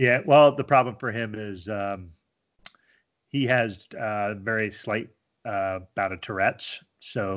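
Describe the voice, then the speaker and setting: Here is a man with an unremarkable speaking voice. His pitch is fairly low, with ordinary pitch variation. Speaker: IT worker and beer blogger. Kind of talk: casual interview chat. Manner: relaxed, conversational.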